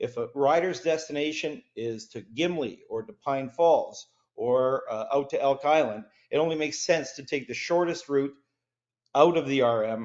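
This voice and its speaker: With a Canadian accent, a man speaks at a moderate pace and a fairly high pitch, with ordinary pitch variation. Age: 60s. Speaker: resident speaking at council meeting. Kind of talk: public delegation speech. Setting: council meeting. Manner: impassioned.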